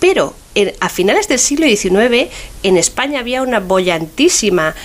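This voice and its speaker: Over noticeable background noise, a woman with a fairly high pitch talks at a fairly slow pace, her pitch swinging very widely. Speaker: food historian. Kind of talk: radio interview. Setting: radio show.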